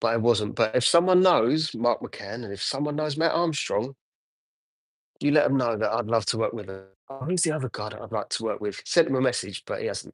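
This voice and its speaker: The speaker has an English accent and lively intonation. The pace is fairly quick. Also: man, medium pitch for a man, quiet background. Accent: English accent, noticeable. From Essex, England. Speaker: car detailer. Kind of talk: live stream chat while working. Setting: detailing unit, livestream. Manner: casual, hesitant with fillers.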